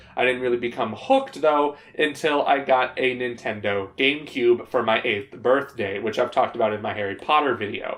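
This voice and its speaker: Noticeable background noise is present throughout. The talking is fairly quick, with ordinary pitch variation. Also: man. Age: 20s. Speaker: youtuber. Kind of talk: casual Q&A monologue.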